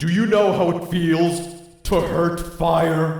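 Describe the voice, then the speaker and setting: A man's high-pitched, put-on character voice, monotone and flat, with clear echo. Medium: read story. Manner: menacing.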